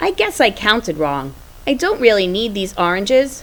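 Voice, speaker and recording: Using a put-on character voice, a woman speaks at a fairly high pitch and a moderate pace, her pitch swinging very widely. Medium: read story. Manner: gentle.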